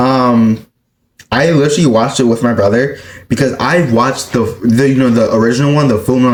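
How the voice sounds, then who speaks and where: Audible room echo surrounds a man speaking at a medium pitch and a moderate pace. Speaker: anime YouTuber. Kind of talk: casual chat. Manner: animated.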